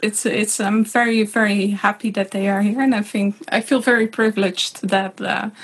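A woman's somewhat breathy, fairly high voice in a Dutch accent, flat and monotone, with hardly any pauses and very even loudness, on a very clean recording with a silent background. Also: moderate pace. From Netherlands. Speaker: hurdy-gurdy player. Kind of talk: casual chat.

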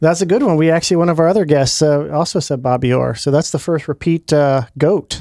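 In a Midwestern accent, a man speaks at a fairly quick pace with a dark, mellow tone and a fairly high pitch. His loudness stays very even and his pitch variation is ordinary. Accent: general American Midwest. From Ohio. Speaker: podcast host. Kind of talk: casual interview chat.

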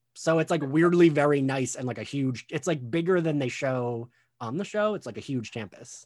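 A man's ordinary speaking voice at a fairly high pitch with ordinary pitch variation and a moderate pace, in a very clean recording with a silent background. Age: 30s. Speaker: podcast host. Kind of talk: casual chat.

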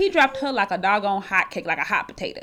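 A woman speaks at a fairly quick pace with very wide pitch swings. The recording is very clean, with a silent background. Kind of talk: casual chat. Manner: animated.

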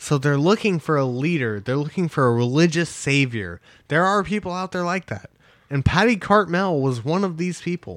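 A man's normal speaking voice, fairly high in pitch, at a moderate pace with lively intonation and a quiet background. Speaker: podcast host. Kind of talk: casual banter podcast. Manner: casual, chatty.

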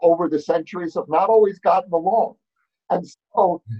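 A man with a high pitch and a New York accent, with ordinary pitch variation. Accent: New York American. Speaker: author and fellow at research institute. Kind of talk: panel discussion. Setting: video call.

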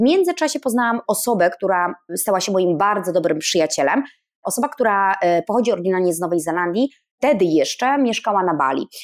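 A woman talks at a very fast pace with very wide pitch swings and very even loudness. The recording is very clean, with a silent background. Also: medium pitch for a woman. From northern Poland. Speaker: painter living in Bali. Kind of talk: casual interview chat.

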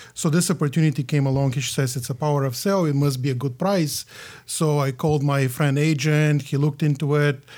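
Somewhat breathy, a man with a Bulgarian accent speaks at a very fast pace with fairly even intonation. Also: very clean recording, silent background. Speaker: condo realtor and investor. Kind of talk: casual interview. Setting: studio.

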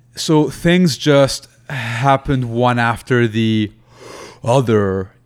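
Noticeable background noise surrounds a man who speaks at a very slow pace. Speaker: stand-up comedian and motivational speaker. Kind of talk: casual interview. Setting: video call.

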